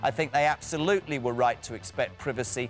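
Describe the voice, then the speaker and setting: Someone speaks at a very fast pace in a British accent. Music plays in the background. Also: man. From England. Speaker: talk show host. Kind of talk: interview answer.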